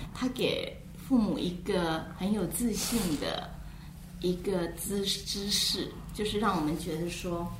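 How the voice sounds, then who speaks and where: Against noticeable background noise, a woman speaks very slowly at a medium pitch with ordinary pitch variation. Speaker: guest, teacher. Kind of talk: interview.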